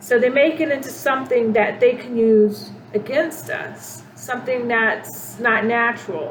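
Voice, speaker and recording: Over noticeable background noise and audible room echo, a woman speaks at a fairly slow pace with hardly any pauses, her fairly high pitch showing ordinary variation. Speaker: spiritual channel host. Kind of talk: spiritual monologue. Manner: halting, many fillers and restarts.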